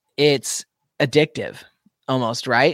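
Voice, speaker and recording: Recorded with a dry, close sound and no echo, a man with an American accent talks at a fairly high pitch with ordinary pitch variation. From US Pacific Northwest, Spokane, Washington. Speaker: metal band vocalist. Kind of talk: interview.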